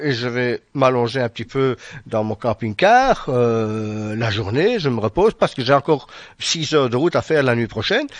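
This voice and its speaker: In a Belgian accent, a man talks at a moderate pace and medium pitch with ordinary pitch variation, the sound dry and close with no echo against a quiet background. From Belgium.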